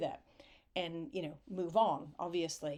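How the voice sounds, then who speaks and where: On a very clean recording with a silent background, a woman with a fairly low pitch talks at a fairly slow pace with fairly even intonation. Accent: American. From United States. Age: 50s. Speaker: writer and arts leader. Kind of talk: conference talk.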